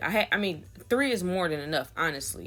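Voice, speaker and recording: Recorded very cleanly over a silent background, a woman with a fairly low pitch and vocal fry talks at a moderate pace. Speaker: wig maker. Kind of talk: tutorial. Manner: casual, with filler words.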